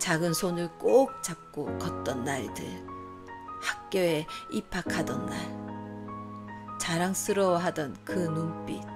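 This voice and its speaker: Music sounds behind the speech. The delivery is very slow. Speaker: storyteller. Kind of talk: read story narration.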